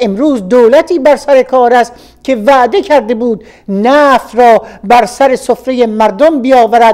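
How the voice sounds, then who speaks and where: Speaking fairly slowly, a woman uses a high pitch that varies in an ordinary way. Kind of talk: radio reading of a political opinion article.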